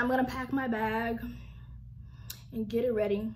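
Ordinary pitch variation runs through a woman's speech, delivered at a moderate pace. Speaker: vlogger. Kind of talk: casual vlog chat. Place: home room. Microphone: phone near.

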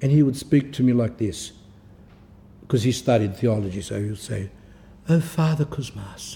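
A man's dark, mellow tone comes through somewhat breathy, with lively intonation. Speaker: Orthodox priest-monk giving spiritual talks. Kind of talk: religious talk. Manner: sometimes slurred or halting; unpolished pronunciation.

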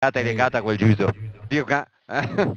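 A man with a Venetian accent is recorded with a dry, close sound with no echo and a quiet background. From Veneto, Italy. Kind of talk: casual political rant. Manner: angry, heavily profane.

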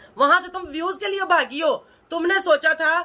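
A woman uses a raised, projected voice with a bright, sharp tone, talking at a moderate pace. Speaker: vlogger. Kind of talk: angry casual vlog rant. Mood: annoyed, scolding. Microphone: phone near.

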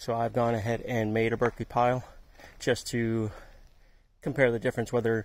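A man at a moderate pace, with dry sound and no echo. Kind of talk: casual vlog chat. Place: garden. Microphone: phone near.

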